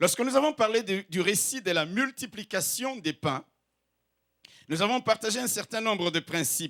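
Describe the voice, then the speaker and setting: With a non-native accent, a man speaks at a moderate pace with long, frequent pauses, his high, bright, sharp voice full of lively intonation, dry and close with no echo on a very clean recording with a silent background. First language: not French (speaking French). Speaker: pastor. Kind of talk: sermon. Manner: exhortative, emphatic.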